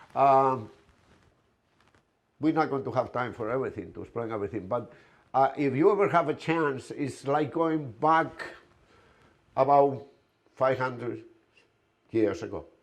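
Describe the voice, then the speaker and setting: A man with a Spanish accent and a medium pitch speaks at a moderate pace, with ordinary pitch variation and long, frequent pauses. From Spain, Galicia. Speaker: restaurant owner. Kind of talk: presentation. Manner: hesitant.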